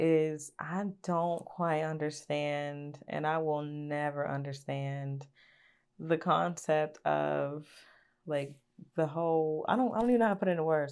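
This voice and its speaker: With an Appalachian accent, a woman speaks at a very deep, low pitch and a fairly slow pace. Her pitch variation is ordinary, over a quiet background. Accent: country, Appalachian twang. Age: 20s. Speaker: YouTuber. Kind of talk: storytime vlog. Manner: casual, filler-heavy.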